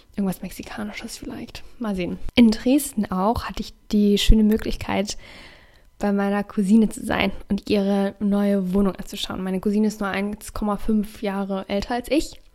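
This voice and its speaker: A woman with an unremarkable speaking voice talks at medium pitch with fairly even intonation. Her loudness swings widely. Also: moderate pace. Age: 20s. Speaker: youtuber and podcaster. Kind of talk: casual solo podcast monologue.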